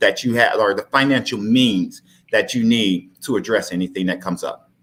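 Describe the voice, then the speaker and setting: A man speaks at medium pitch and a moderate pace. His is an unremarkable speaking voice. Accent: American. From Texas. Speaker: life insurance advisor. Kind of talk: live-streamed interview, persuasive pitch.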